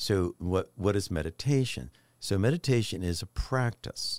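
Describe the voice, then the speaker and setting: Lively intonation marks a man's speech in a dry, close sound with no echo on a very clean recording with a silent background. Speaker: mindfulness and meditation expert. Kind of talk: podcast conversation. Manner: smooth, relaxing way of talking.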